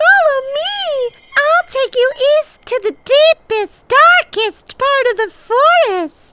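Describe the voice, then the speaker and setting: A female-sounding put-on character voice, squeaky and extremely high in pitch. It moves at a very slow pace. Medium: audio drama. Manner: sly, condescending.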